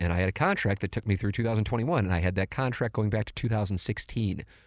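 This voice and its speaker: In a very clean recording with a silent background, a man uses a normal speaking voice with an American accent. He speaks at a fairly quick pace with ordinary pitch variation. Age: 40s. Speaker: podcast host. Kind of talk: casual chat. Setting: studio.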